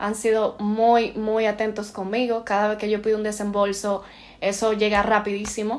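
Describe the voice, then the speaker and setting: The delivery moves at a moderate pace. Its intonation is monotone and flat. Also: woman, fairly high pitch for a woman. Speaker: postgraduate student in interior design. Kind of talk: casual chat.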